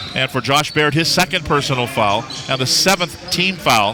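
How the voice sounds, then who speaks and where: A man talks over noticeable background noise. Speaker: radio play-by-play announcer. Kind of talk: live sports play-by-play commentary. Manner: fast, energetic.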